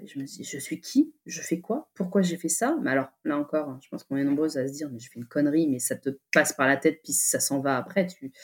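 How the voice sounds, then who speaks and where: A woman with a very deep, low pitch talks with lively intonation and hardly any pauses. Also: fairly quick pace. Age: 30s. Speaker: author. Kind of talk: casual chat.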